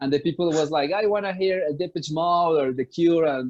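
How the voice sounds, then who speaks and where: This man talks at a fairly quick pace with a Spanish accent. His pitch is fairly high, with ordinary pitch variation. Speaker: musician. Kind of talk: interview. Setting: video call. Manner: halting.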